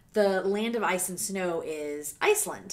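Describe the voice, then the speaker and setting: Using lively intonation, a woman with an American accent speaks at a fairly slow pace. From US South, Savannah, Georgia. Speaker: music reaction YouTuber, former radio host. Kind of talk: casual vlog monologue. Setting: home video recording. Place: home room. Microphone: studio mic.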